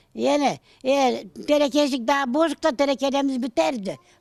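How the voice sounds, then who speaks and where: A high-pitched woman at a fairly slow pace, on a very clean recording with a silent background. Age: 80s+. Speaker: elderly villager. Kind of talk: casual interview.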